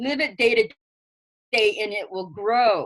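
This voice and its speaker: Against a quiet background, a woman speaks loudly at a fairly slow pace with lively intonation. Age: old. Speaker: earth wisdom elder and teacher. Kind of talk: interview.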